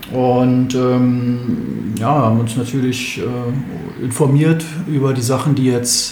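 Amid noticeable background noise and audible room echo, a man speaks in a monotone, flat intonation. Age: 30s. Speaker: basketball club chairman. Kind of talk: interview.

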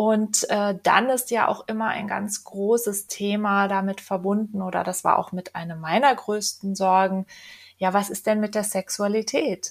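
Somewhat breathy and at medium pitch, a woman speaks at a fairly slow pace with fairly even intonation on a very clean recording with a silent background. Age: 40s. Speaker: first-time author, property manager. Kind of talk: podcast interview. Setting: studio.

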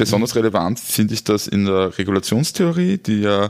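A man speaks at a fairly low pitch and a moderate pace. Noticeable background noise runs behind him. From Austria, Styria. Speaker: podcast host. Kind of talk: interview.

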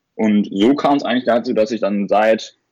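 A man talks with fairly even intonation. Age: 20s. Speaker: e-commerce entrepreneur and medical student. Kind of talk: casual interview. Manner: halting, many fillers.

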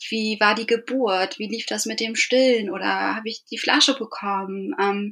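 In a normal speaking voice, a woman talks fairly slowly, her pitch varying in an ordinary way. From northern Germany, Eckernförde (Schleswig-Holstein). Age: 30s. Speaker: podcast guest, bereaved mother. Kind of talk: casual interview.

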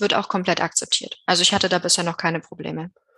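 The woman speaks at a medium pitch with fairly even intonation. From Bavaria, Germany. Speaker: tax advisor. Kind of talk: interview. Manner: hesitant with many fillers.

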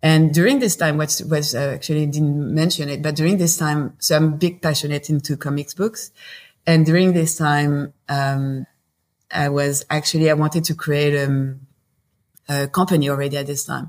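At a moderate pace, a woman speaks in a very deep, low voice with fairly even intonation. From southern France, Marseille. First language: French. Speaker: company founder and CEO. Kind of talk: interview conversation. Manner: halting, many fillers.

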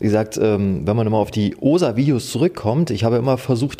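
Here is an ordinary speaking voice from a man at medium pitch. He talks at a fairly quick pace with lively intonation. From eastern Germany, Oder-Spree region (Brandenburg). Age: 30s. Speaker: fishing YouTuber. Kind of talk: casual interview chat.

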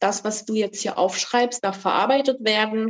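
With an unremarkable speaking voice, a woman of fairly high pitch talks at a fairly quick pace with ordinary pitch variation. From eastern Germany, Saxony-Anhalt. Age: 40s. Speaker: author. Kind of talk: podcast interview.

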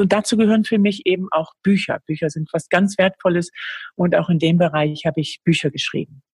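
A woman's somewhat breathy, fairly low voice, fairly quick and fairly even in intonation, with a dry, close sound and no echo. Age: 50s. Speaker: author and speaker. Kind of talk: interview.

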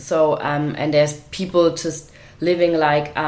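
A woman with a German accent over noticeable background noise. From Germany, Swabia. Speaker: charity founder, podcast co-host. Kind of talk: casual chat.

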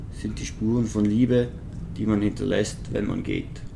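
Audible echo from the room is present. The voice belongs to a man. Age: 20s. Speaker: photographer and wheelchair user. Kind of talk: casual interview.

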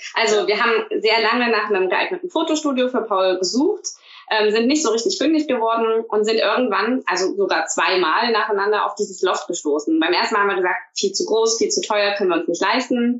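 Fairly high-pitched woman's voice with very wide pitch swings, very even loudness and a fairly quick pace. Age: 30s. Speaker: teacher. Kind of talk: casual interview.

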